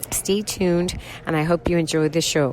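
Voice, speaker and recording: Her pitch rises and falls in an ordinary way. Noticeable noise sits in the background as the woman talks. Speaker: radio show host. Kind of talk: podcast intro.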